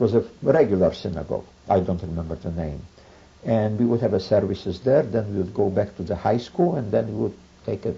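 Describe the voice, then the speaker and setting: A somewhat breathy man at a fairly low pitch and fairly quick pace, with ordinary pitch variation. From Poland, Boryslaw. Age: 70s. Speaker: Holocaust survivor. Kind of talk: oral history interview. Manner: halting, with many fillers.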